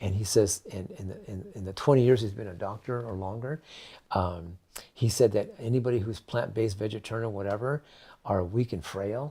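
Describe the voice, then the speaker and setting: A man with an American accent talks at a fairly quick pace in a fairly low pitch, with ordinary pitch variation and big swings in loudness. His tone is dark and mellow and somewhat breathy, on a very clean recording with a silent background. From California. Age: 70s. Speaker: raw food advocate. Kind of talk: interview. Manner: halting.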